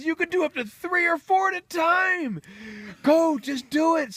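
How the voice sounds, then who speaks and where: The man puts on a character voice, pitched extremely high. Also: moderate pace. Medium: read story. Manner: strutting, smooth-talking.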